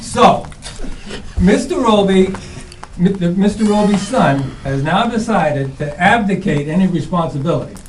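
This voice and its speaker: With an American accent and a high pitch, a man speaks at a moderate pace with ordinary pitch variation and long, frequent pauses, amid audible room echo and noticeable background noise. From New England, central Massachusetts. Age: 60s. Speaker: resident. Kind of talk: public meeting testimony. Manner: halting.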